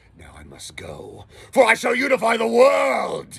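A raspy, put-on character voice from a man. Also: moderate pace. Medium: voice reel. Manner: commanding, menacing.

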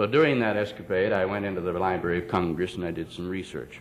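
The speaker goes at a fairly quick pace over light background noise. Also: man. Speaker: politician giving speech. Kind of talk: speech. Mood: persuasive, lightly humorous. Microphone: podium.

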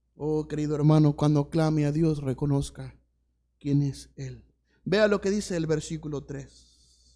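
A man with a dark, mellow tone talks at a fairly slow pace with fairly even intonation against a quiet background. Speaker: pastor. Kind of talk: sermon. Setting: church. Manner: earnest, pastoral, repetitive cadence building to an exhortation; informal, hesitant with fillers at the start. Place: church.

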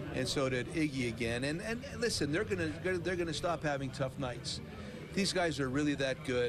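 Against noticeable background noise, a man speaks at a moderate pace. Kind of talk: interview answer. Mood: calm, upbeat, supportive. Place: stadium. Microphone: handheld.

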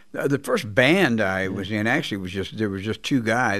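Against a quiet background, a man talks at a moderate pace with a Texan accent. His pitch is fairly low. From Texas. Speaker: blues guitarist; guest. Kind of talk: interview. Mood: reflective, candid. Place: studio. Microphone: studio mic.

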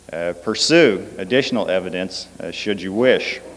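With a normal speaking voice, a man talks at a moderate pace at a fairly low pitch. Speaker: conference lecturer. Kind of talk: lecture. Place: hall. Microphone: podium.

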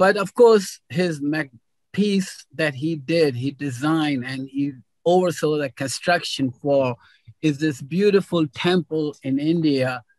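A man at a very slow pace, with a quiet background. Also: ordinary pitch variation, dry sound with no echo. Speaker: host introducing a guest speaker. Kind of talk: introduction speech. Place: home room. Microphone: video call.

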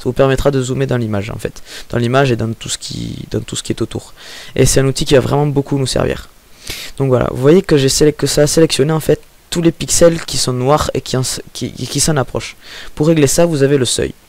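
A man's fairly quick delivery with fairly even intonation and a dry sound with no echo. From southern France. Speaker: software tutorial maker. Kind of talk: screen-recorded software tutorial. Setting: home microphone with breath pops. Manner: hesitant, many filler sounds.

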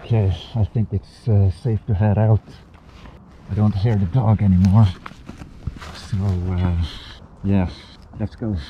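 With long, frequent pauses, a man talks at a fairly slow pace in a fairly low pitch and fairly even intonation, recorded dry with no echo over light background noise. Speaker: outdoor adventure vlogger. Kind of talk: casual vlog chat.

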